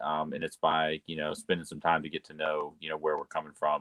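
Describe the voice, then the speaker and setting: This man's very deep, low voice carries a Southern US accent and a monotone, flat intonation. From US South (North Florida, Carolinas). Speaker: engineer and emotional intelligence coach. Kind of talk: interview. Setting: video call. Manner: hesitant, many fillers.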